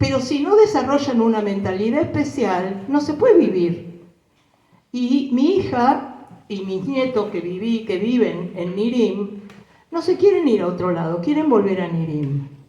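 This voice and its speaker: A somewhat breathy woman with a Rioplatense accent and a dark, mellow tone, at a fairly slow pace with very wide pitch swings and audible room echo. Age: 70s. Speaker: war survivor. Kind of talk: testimony. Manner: animated.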